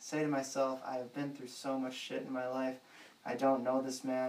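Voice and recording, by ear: A natural voice reading aloud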